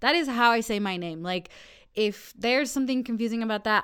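With a General American accent, a woman uses an ordinary speaking voice at a fairly high pitch and a fairly quick pace, with ordinary pitch variation. The recording is very clean, with a silent background. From Colorado, Denver area. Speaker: city council member. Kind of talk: casual chat. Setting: studio.

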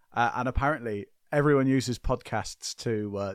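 A man is speaking. The sound is dry and close, without echo. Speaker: podcast host. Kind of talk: casual chat. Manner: animated.

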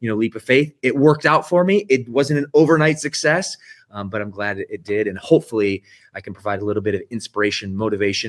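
An ordinary speaking voice in an American accent moves at a fairly quick pace with lively intonation, captured in a very clean recording with a silent background and a dry, close sound free of echo. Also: man. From US Southeast, near Atlanta. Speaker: fitness franchise CEO. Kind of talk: interview. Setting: studio.

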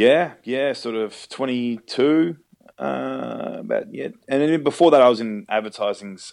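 At a fairly slow pace, a man speaks with an Australian accent. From Melbourne, Australia. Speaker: actor. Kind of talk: casual chat. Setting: phone call.

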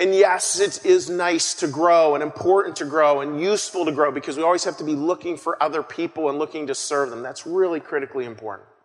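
Over noticeable background noise, a man speaks at a very fast pace with hardly any pauses. His voice is fairly high in pitch, with ordinary pitch variation. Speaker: pastor. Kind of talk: sermon. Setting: church.

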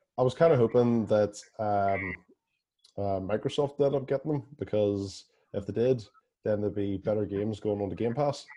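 A fairly low-voiced man with a Northern Irish accent, at a moderate pace and with ordinary pitch variation. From Belfast, Northern Ireland. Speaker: podcast host. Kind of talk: casual chat.

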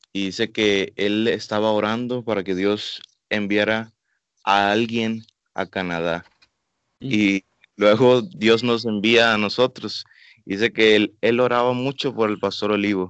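A man with a normal speaking voice talks at a fairly slow pace in a fairly low pitch, his intonation fairly even. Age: 20s. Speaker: missionary. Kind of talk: radio interview.

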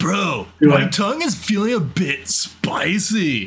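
A man puts on a raspy character voice, high in pitch and at a fairly slow pace. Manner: casual, exaggerated.

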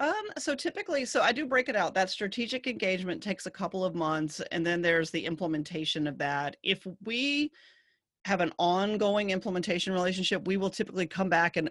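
In a Southern US accent, a woman talks at a fairly quick pace with lively intonation and a medium pitch. The background is quiet. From US South. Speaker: agency CEO. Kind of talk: casual interview chat.

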